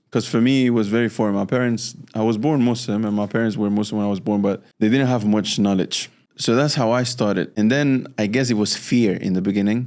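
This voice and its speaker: Someone speaks with a Spanish accent at a fairly quick pace, with hardly any pauses. The recording is very clean, the background silent. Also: man, medium pitch for a man. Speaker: entrepreneur and Quran memorizer. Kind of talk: interview storytelling. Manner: halting with restarts.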